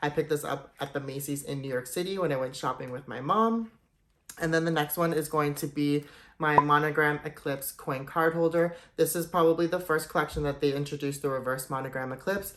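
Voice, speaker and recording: Against a quiet background, a man with a fairly high pitch speaks in an enthusiastic tone at a fairly quick pace. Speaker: luxury goods YouTuber. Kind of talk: product showcase vlog. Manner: fast; casual, enthusiastic.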